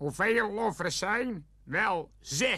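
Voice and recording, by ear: In a natural voice, someone reads aloud with lively intonation.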